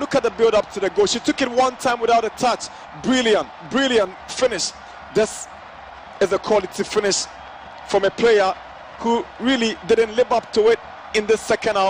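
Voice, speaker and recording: A man's high-pitched voice at a moderate pace, with fairly even intonation, long and frequent pauses, and noticeable background noise. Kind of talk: football commentary.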